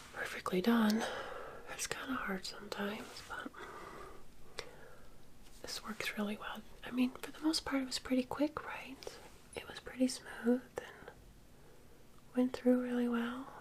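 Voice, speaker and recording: Soft-spoken and relaxed, a woman speaks at a high pitch with fairly even intonation, big swings in loudness, and long, frequent pauses, over noticeable background noise. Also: moderate pace. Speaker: ASMR and beauty content creator. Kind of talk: ASMR makeup get-ready-with-me. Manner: soft-spoken, relaxed.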